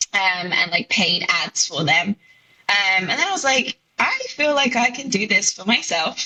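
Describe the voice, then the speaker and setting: A woman with a British accent speaks with very wide pitch swings. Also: fairly high pitch for a woman, moderate pace. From southern England (Reading, near London). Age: 20s. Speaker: content creator and teacher. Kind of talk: podcast interview. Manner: casual, hesitant with many fillers.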